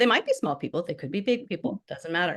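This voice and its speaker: A woman speaks against a quiet background. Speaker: minister presenting a workshop. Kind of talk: online workshop presentation. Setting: video call with screen sharing. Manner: fast.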